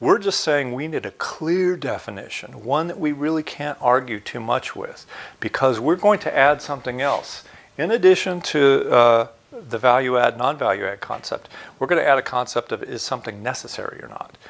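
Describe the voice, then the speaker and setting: Noticeable background noise runs under this recording. A man with a fairly high pitch talks at a moderate pace with lively intonation. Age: 60s. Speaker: university lecturer. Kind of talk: recorded online lecture.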